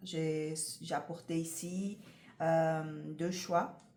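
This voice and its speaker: A woman speaks in a somewhat breathy voice, with audible room echo around her. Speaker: tarot reader. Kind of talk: tarot card reading to camera. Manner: hesitant, many fillers.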